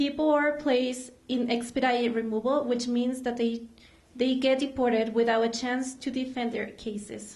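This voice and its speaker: A woman with a Mexican accent speaks at a moderate pace in a high, flat monotone, with audible room echo. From Mexico. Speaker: immigrant rights advocate. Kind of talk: prepared speech. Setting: stage with audience.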